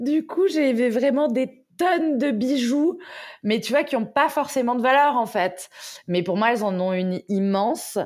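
Recorded very cleanly against a silent background, a woman with a high pitch talks at a fairly slow pace with lively intonation. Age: 30s. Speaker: entrepreneur. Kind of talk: casual interview.

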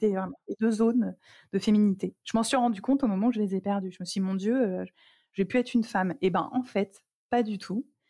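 With a dry, close sound and no echo, a woman speaks at a moderate pace and medium pitch in a somewhat breathy voice with a dark, mellow tone, leaving long, frequent pauses. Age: 40s. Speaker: cancer survivor and stage performer. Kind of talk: personal testimony interview.

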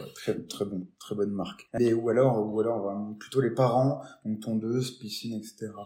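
A man's dark, mellow tone at medium pitch, fairly slow and fairly even in intonation. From Lorraine, France (Nancy). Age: 20s. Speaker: robotics entrepreneur. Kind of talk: interview. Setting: video interview. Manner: hesitant, repetitive fillers.

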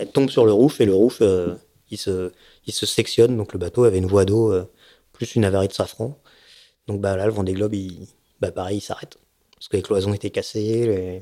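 A man's fairly low voice with a dark, mellow tone, at a fairly quick pace with long, frequent pauses, fairly even intonation and big swings in loudness, on a very clean recording with a silent background. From Savoie, France. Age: 40s. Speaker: offshore racing sailor. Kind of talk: casual interview. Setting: at a home. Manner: hesitant, many fillers.

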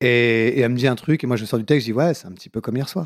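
In a very clean recording with a silent background, a man speaks at a very fast pace. His pitch is medium with ordinary variation. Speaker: comedian and author. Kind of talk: casual interview.

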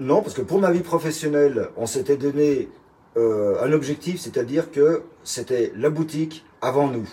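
A man's somewhat breathy, dark and mellow voice, fairly high in pitch with ordinary pitch variation, at a fairly slow pace. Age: 60s. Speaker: retired chef. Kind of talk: interview.

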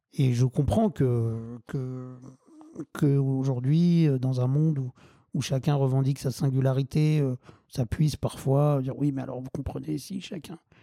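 The man speaks fairly slowly at a medium pitch, with ordinary pitch variation and a dark, mellow tone. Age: 40s. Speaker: wheelchair football club president. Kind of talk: interview. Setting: at home. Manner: halting.

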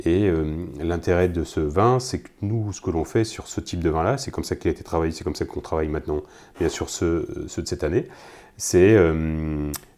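A man speaks fairly quickly in a very deep, low pitch with a dark, mellow tone and ordinary pitch variation. The recording is very clean, with a silent background. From Loire Valley, France. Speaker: winemaker. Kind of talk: casual interview.

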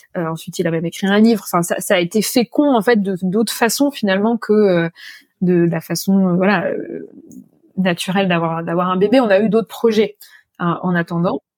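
Long, frequent pauses break up a woman's moderate-paced speech at a medium pitch with ordinary pitch variation. The sound is dry and close, without echo. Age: 30s. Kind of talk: interview testimony. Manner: halting, many fillers and repetitions.

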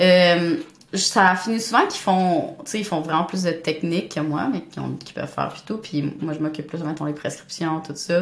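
Woman at a medium pitch, moderate pace and ordinary pitch variation. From Montreal, Quebec. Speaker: new nurse. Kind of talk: casual interview.

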